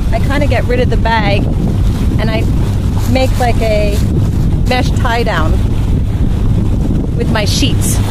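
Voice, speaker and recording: Amid loud background noise, a woman speaks at a fairly slow pace with long, frequent pauses, and the sound is dry with no echo. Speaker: sailing vlogger. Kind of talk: tutorial. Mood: cheerful. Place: boat.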